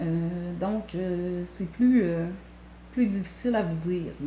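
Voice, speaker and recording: In a strong Quebec accent, a woman speaks at a very slow pace with ordinary pitch variation. Her voice is somewhat breathy, and there is audible room echo. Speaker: knitting vlogger. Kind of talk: tutorial. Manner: hesitant, many filler sounds.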